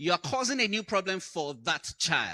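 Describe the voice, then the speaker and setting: The sound is dry and close, without any echo. A man uses a raised, projected voice with a bright, sharp tone. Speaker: conference speaker, educator. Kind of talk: conference talk. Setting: stage with audience.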